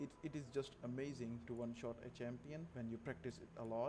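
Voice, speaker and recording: This man has a non-native accent and a medium pitch. He talks at a fairly slow pace. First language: not English. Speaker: gaming video creator. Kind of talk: gameplay tutorial.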